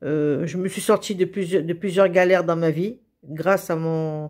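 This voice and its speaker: A woman talks at a fairly low pitch with a monotone, flat intonation. The recording is very clean, with a silent background. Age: 70s. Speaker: vlogger. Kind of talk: vlog monologue. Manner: halting, many hesitations and repetitions.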